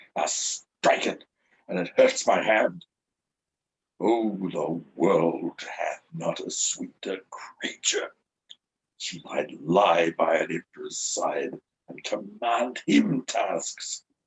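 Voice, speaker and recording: Someone uses a put-on character voice. The delivery comes at a very slow pace. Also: man, big swings in loudness. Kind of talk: Shakespearean stage acting. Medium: stage play.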